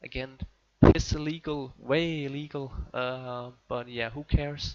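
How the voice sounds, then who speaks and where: A man with a Danish accent speaks fairly slowly in a fairly high voice with monotone, flat intonation. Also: big swings in loudness. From Denmark. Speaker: tech and gaming YouTuber. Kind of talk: tutorial. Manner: casual, hesitant with fillers. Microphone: muffled old recording.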